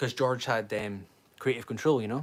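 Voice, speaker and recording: Medium in pitch, a man speaks with fairly even intonation. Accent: Scottish. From Scotland. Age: 20s. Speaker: livestreamer, fan channel host. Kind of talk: casual livestream chat. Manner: rambling, conversational.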